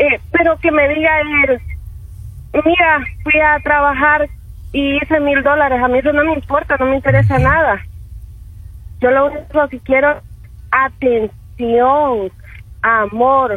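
A woman with a high pitch talks at a fairly slow pace. Her intonation is fairly even, with long, frequent pauses. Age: 20s. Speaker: radio caller. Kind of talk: call-in opinion. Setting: phone call.

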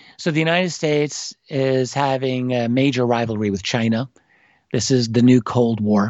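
A man with an American accent has a plain, everyday voice at medium pitch. He keeps a moderate pace with ordinary pitch variation. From New York City. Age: 50s. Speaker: historian and author. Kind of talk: interview. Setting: remote call from home office.

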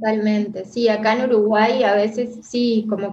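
Monotone, flat intonation from a woman with a fairly high voice. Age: 40s. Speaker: therapist. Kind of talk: interview.

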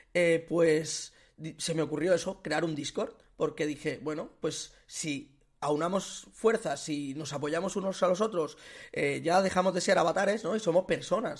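Spoken at a fairly slow pace with ordinary pitch variation, the clip is very clean, with a silent background. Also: man. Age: 30s. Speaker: podcast host. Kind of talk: casual chat.

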